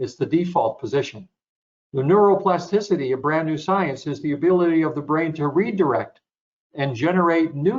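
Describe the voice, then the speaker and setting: A man with a fairly high pitch and lively intonation talks at a moderate pace in a plain, everyday voice. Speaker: sports psychologist. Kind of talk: webinar presentation.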